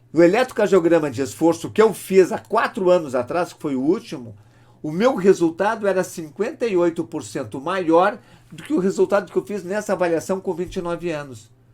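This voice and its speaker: The speech moves at a fairly quick pace with big swings in loudness. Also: man, high pitch for a man. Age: 60s. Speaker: doctor. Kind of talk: lecture.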